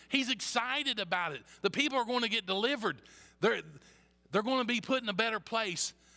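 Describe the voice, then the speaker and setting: Projected and raised, the bright, sharp voice races at a very fast pace with ordinary pitch variation and long, frequent pauses, on a very clean recording with a silent background. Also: man, extremely high pitch for a man. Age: 50s. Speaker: pastor. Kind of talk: sermon. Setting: church.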